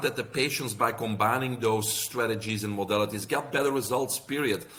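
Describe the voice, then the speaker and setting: With noticeable background noise behind him, a man speaks at a fairly quick pace with ordinary pitch variation. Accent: Belgian. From Belgium. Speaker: health practitioner and author. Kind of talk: podcast interview.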